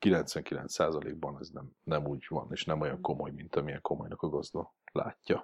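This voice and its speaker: Speaking at a fairly slow pace, a man uses a very deep, low pitch with vocal fry and a monotone, flat intonation. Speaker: dog trainer. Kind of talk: casual chat.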